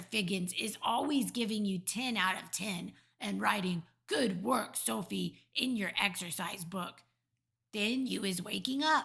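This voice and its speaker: A woman's raspy, put-on character voice at a medium pitch and a fairly slow pace. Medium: read story. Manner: ungrammatical, playful invented words.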